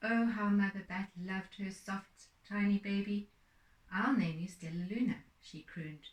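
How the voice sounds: The speaker uses a natural reading voice. It carries throughout the clip.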